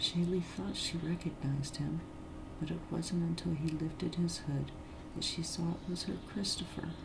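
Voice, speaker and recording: The speaker is soft-spoken. The pace is moderate. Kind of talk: read story.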